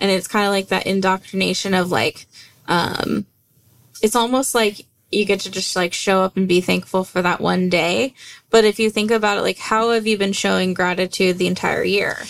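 A woman speaks with an American accent in a plain, everyday voice. Her pitch is medium and her pace moderate. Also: fairly even intonation. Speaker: podcast co-host. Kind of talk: casual chat.

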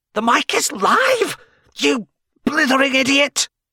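In a put-on character voice, a man speaks at an extremely high pitch and a fairly slow pace, with hissing in the sound. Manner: sniping, hissed.

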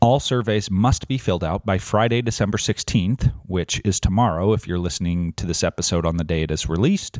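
In an ordinary speaking voice, a man with a fairly low pitch talks at a fairly quick pace with hardly any pauses. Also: ordinary pitch variation. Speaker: podcast host and teachers' association representative. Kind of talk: interview.

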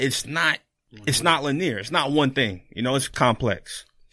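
This is an unremarkable speaking voice from a man with an American accent and a fairly high pitch. He talks at a moderate pace with ordinary pitch variation. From Florida. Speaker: clinical social worker. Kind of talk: casual chat.

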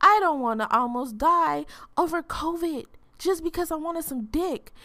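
On a very clean recording with a silent background, a woman speaks in an animated tone. Her bright, sharp voice swings very widely in pitch. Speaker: podcast host. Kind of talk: casual monologue.

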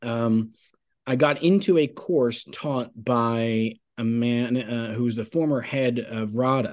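In an American accent, a man with an ordinary speaking voice talks at a fairly slow pace and medium pitch, with ordinary pitch variation over a quiet background. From Long Island, New York. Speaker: playwright and artistic director. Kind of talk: casual interview. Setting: video call.

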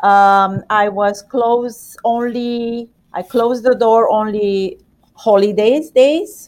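Speaking very slowly, a woman uses a fairly high pitch. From Romania. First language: Romanian. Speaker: pastry shop owner. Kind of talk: interview.

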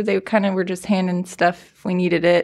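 In a very clean recording with a silent background, a woman with an American accent and an unremarkable speaking voice talks at a fairly quick pace in a medium pitch. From Los Angeles County, California. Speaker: paramedic. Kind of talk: case story in podcast interview.

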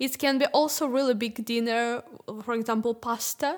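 High woman's voice, moderately paced, with ordinary rises and falls in pitch. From Ukraine. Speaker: Ukrainian refugee. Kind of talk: casual group conversation.

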